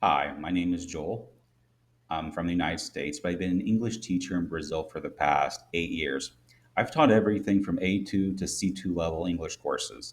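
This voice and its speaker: The speaker has a Midwestern American accent, ordinary pitch variation and a moderate pace, in a very clean recording with a silent background. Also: man, very deep, low pitch for a man. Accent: Midwest American. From US Midwest. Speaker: English teacher. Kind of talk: tutorial.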